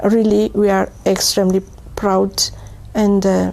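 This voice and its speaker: Noticeable background noise sits behind a woman's voice. She talks at a very slow pace in a medium pitch. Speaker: patient organization representative. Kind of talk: award acceptance speech. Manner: halting, many fillers.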